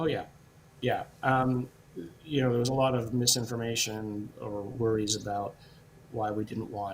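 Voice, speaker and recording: Speaking at a moderate pace with long, frequent pauses, a man uses a somewhat breathy, medium-pitched voice and fairly even intonation. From Britain. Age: 60s. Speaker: professor and scientist. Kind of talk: interview Q&A. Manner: hesitant, many fillers.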